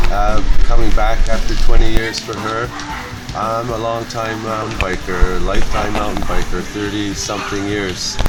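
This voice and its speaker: Amid noticeable background noise and audible room echo, a man with a Canadian accent talks at a moderate pace in a monotone, flat intonation. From Canada. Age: 60s. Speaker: mountain biker. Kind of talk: interview.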